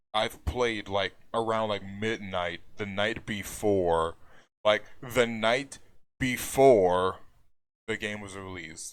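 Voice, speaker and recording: Very slowly and in a fairly low pitch, a man speaks with fairly even intonation but big swings in loudness. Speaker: gaming YouTuber. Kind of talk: unscripted video commentary. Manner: stutters, hesitant with fillers.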